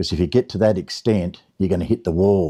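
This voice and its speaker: A man's dark, mellow voice with an Australian accent and fairly even intonation, on a very clean recording with a silent background. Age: 70s. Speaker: gardener, lawn care business owner. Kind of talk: casual talk to camera.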